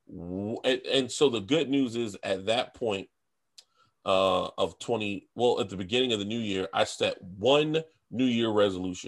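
Over a quiet background, a man with an American accent and an ordinary speaking voice talks fairly slowly at medium pitch with ordinary pitch variation. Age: 30s. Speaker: food content creator. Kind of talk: casual chat.

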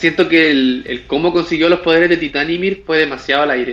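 Speaking with a Chilean accent, a man with a fairly high pitch talks at a fairly quick pace with ordinary pitch variation. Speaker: podcast host. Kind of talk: casual chat.

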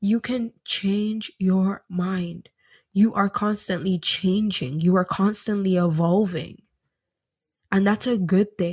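A somewhat breathy woman at medium pitch, very slow and fairly even in intonation, on a very clean recording with a silent background. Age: 20s. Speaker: spirituality and self-development podcast host. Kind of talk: motivational monologue.

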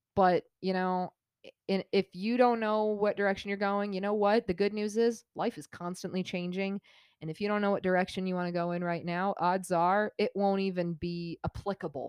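In an ordinary speaking voice, a woman with an American accent talks at a medium pitch and a moderate pace with fairly even intonation, in a dry, close sound with no echo and a quiet background. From Colorado, US. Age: 20s. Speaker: podcast co-host. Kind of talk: casual chat.

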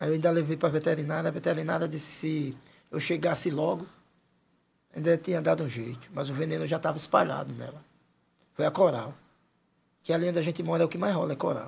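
Using a fairly high pitch and vocal fry, a man talks at a very fast pace, broken by long, frequent pauses. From Penedo, Alagoas, Brazil. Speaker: local resident sharing stories. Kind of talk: casual interview.

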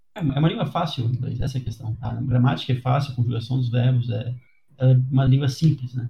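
A man with a medium pitch talks at a fairly quick pace, his tone dark and mellow, somewhat breathy, with fairly even intonation. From Brazil. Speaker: podcast host. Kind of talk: casual chat.

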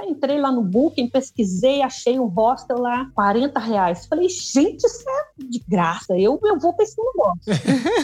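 Over noticeable background noise, the speech runs at a fairly slow pace with hardly any pauses and very wide pitch swings. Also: woman, high pitch for a woman. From interior of Rio de Janeiro state, Brazil. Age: 50s. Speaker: retired backpacker. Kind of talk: casual interview chat.

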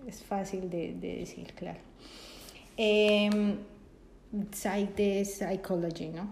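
Over audible room echo, a woman at medium pitch speaks at a very slow pace in a monotone, flat intonation, with long, frequent pauses. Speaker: podcast co-host. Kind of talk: casual chat.

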